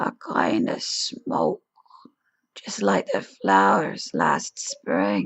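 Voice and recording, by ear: A woman whispers in a put-on character voice with vocal fry. Her pace is very slow.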